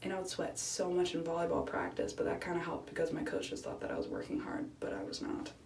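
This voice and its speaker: Noticeable background noise accompanies a woman who speaks at a very fast pace. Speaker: college student vlogger. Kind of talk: casual talk to camera.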